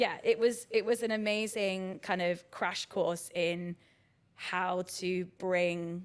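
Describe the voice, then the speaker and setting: A woman speaks in a Brighton accent. Her pitch sits at a medium level and her intonation stays fairly even. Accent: southern English, Brighton. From southern England, Brighton. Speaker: arts director. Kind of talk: podcast interview. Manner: casual, many fillers (um, like).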